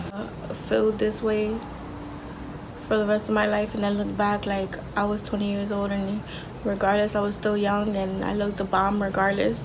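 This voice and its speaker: A soft-spoken woman at medium pitch talks at a moderate pace in a monotone, flat intonation, with noticeable background noise and audible room echo. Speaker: vlogger. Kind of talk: casual monologue.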